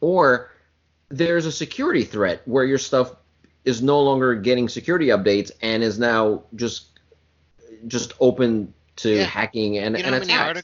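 With an animated tone and ordinary pitch variation, the speech runs at a fairly slow pace with long, frequent pauses. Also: man, medium pitch for a man. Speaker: podcast co-host. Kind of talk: informal. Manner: casual, animated, profane.

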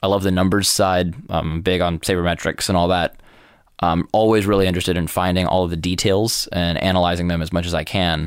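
Flat, monotone intonation and very even loudness mark this fairly quick delivery in an American accent. The recording is very clean, the background silent. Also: man, very deep, low pitch for a man. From New York. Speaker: college sports and esports commentator. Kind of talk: interview.

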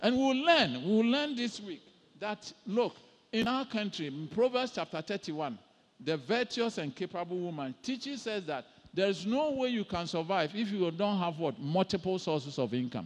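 A man speaks in a high voice that swings very widely in pitch. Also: moderate pace. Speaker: pastor and professor. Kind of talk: sermon.

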